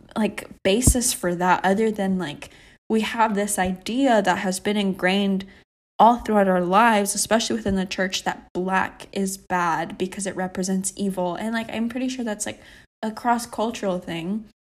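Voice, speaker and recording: In a plain, everyday voice, a woman of medium pitch talks at a moderate pace with fairly even intonation, recorded very cleanly against a silent background. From Texas. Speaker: podcast co-host. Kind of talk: casual faith discussion.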